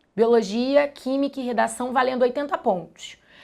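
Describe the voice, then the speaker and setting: Very clean, with a silent background, the recording captures a woman at a moderate pace. Her pitch is high. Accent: Carioca. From Brazil, Rio de Janeiro suburbs. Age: 30s. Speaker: biology teacher. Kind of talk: documentary interview testimony.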